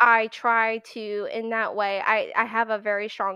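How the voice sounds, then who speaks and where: A woman with an American accent speaks at a fairly high pitch, her tone bright and sharp and her intonation fairly even. The sound is dry and close, with no echo. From Pennsylvania, US. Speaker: animator and compositor. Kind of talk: casual interview chat. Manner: casual, filler-heavy.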